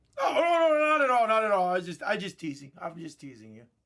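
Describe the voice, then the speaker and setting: The speaker has a Hawaiian accent. The pace is moderate. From Hawaii, Oahu. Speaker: sports card box breaker. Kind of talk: live stream card break commentary. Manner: animated.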